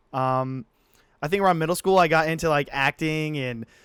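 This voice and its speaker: A man's fairly high voice with a Midwestern American accent, on a very clean recording with a silent background and a dry, close sound with no echo. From Illinois, US Midwest. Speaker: podcast co-host. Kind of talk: casual chat. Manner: halting.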